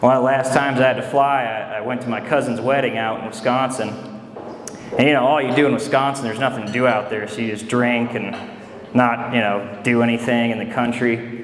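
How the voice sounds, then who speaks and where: Against noticeable background noise, a man speaks fairly quickly with monotone, flat intonation. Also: medium pitch for a man. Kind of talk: stand-up comedy set. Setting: comedy club, live audience. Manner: casual, conversational, joking.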